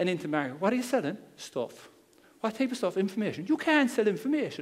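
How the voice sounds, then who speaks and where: With a Cork accent, a man talks at a very fast pace in a high pitch that swings very widely. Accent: Cork Irish. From Ireland, Cork. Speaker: internet marketer. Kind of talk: seminar talk. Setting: stage with audience. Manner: calm, conversational.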